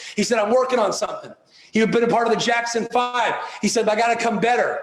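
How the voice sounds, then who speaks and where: With noticeable background noise and audible room echo, a man races along at a very fast pace in an extremely high-pitched, animated voice. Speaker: motivational speaker. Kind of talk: motivational speech.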